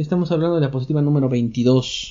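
A man talks with a fairly high pitch and ordinary pitch variation. His voice is somewhat breathy. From Mexico. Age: 40s. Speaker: lecturer, podcast host. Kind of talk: lecture. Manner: conversational, with filler hesitations.

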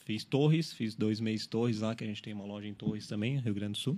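A man with an ordinary speaking voice at medium pitch, on a very clean recording with a silent background. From Araranguá, Santa Catarina, Brazil. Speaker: store manager. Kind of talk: radio interview. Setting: radio studio.

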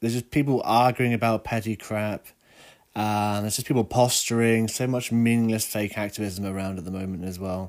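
A man talks at a moderate pace with a fairly low pitch and fairly even intonation. His tone is slightly mellow and nasal.

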